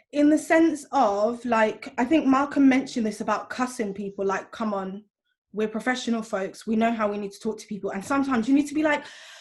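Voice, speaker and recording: A woman with a British accent, fairly high pitch and a fairly quick pace, ordinary pitch variation, big swings in loudness. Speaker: teacher and school governor. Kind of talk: panel discussion. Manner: fast; animated.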